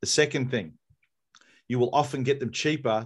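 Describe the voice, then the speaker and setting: A man with an Australian accent talks at a very fast pace against a quiet background. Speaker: podcast host. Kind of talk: casual chat. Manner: animated.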